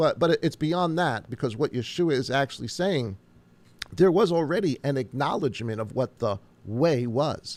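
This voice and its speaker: The speaker has a Long Island accent and lively intonation. The pace is moderate. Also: man, fairly high pitch for a man. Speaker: pastor. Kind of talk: casual chat.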